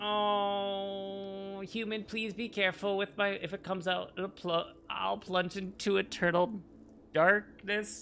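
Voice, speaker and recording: A put-on character voice at a middle pitch, fairly slow in pace, over clear background noise. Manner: fearful.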